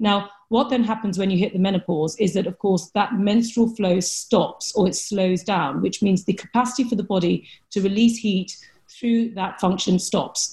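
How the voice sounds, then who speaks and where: A woman speaks at a moderate pace with a medium pitch and ordinary pitch variation. Her tone is dark and mellow, and somewhat breathy. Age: 40s. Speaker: Chinese medicine practitioner. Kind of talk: interview.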